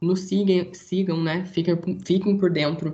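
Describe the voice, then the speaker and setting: The speaker is a man. His delivery is fairly slow. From Brazil, interior of São Paulo state. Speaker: engineering student, student federation director. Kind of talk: casual interview.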